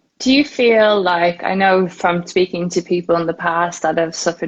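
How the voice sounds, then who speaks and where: Delivered at a medium tempo, the voice sounds dry and close, without any echo. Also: woman. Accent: Irish. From Ireland. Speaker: podcast host. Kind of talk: interview.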